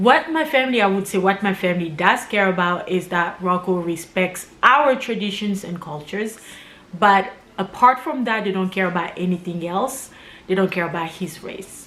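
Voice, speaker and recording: Against noticeable background noise, a woman speaks at a moderate pace and medium pitch with lively intonation. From Congo, Kinshasa. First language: Lingala or French. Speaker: YouTuber. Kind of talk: casual chat.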